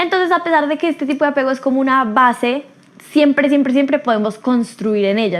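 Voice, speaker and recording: A woman rattles along at a very fast pace, her pitch varying in an ordinary way. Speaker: podcast host. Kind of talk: solo podcast talk.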